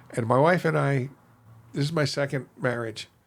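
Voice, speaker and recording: Fairly even intonation from a man at medium pitch, delivered at a moderate pace. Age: 60s. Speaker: retired federal agent and stand-up comic. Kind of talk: casual interview chat.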